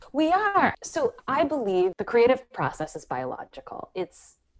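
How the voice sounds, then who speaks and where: Her pitch swinging very widely, a woman talks in an American accent. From US Northeast, Philadelphia. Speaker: creativity coach and writer. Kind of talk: podcast interview. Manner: animated.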